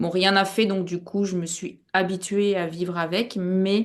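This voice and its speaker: A woman talks at a very slow pace with a fairly low pitch. The background stays quiet. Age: 60s. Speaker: hypnosis client. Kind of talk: personal testimony. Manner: halting, many hesitations.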